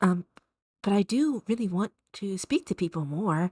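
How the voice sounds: In a dry, close sound with no echo, a woman talks at a moderate pace and medium pitch with lively intonation, a slightly mellow tone and a slightly husky edge.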